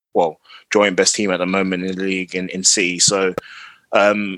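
With a plain, everyday voice, a man speaks fairly quickly at a fairly low pitch and with fairly even intonation. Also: dry, close sound with no echo. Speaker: football fan panelist. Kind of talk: casual football banter.

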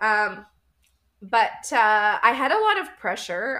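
A woman with a Canadian accent speaks very slowly in a fairly high voice with a bright, sharp tone. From Canada, Winnipeg. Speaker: life coach. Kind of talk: interview.

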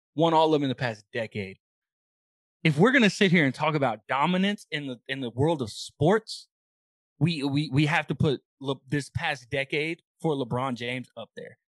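A man speaks with an ordinary speaking voice at a moderate pace. His pitch is fairly high for a man, with ordinary pitch variation. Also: dry, close sound with no echo. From Texas. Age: 20s. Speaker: sports podcast co-host. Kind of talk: casual chat.

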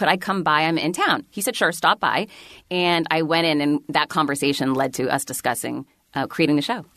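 At a fairly quick pace, a woman speaks in a fairly low voice with a bright, sharp tone and ordinary pitch variation. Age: 40s. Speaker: author and keynote speaker. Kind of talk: casual chat.

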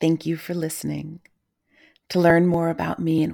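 A very deep, low-pitched woman's voice, dark and mellow in tone. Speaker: poet and podcaster. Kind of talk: poetry reading, spoken word blessing. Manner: lyrical, solemn, measured cadence.

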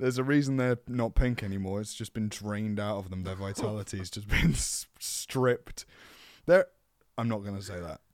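A man's plain, everyday voice, fairly low in pitch, with ordinary pitch variation and a fairly quick pace, on a very clean recording with a silent background. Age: 20s. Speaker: voice actor. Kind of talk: casual chat; mock carnival-barker routine, echoing the other speaker. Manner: exaggerated, gleeful, carnival-style showman bark.

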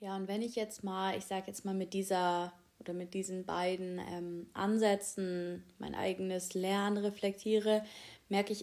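The speaker is a woman with a dark, mellow tone. She moves at a moderate pace. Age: 20s. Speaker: university student and podcaster. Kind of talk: casual solo podcast monologue. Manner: casual, with filler words.

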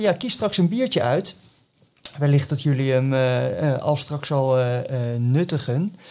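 A man speaking at a moderate pace. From Scheveningen, Netherlands. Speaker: podcast host. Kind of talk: casual chat.

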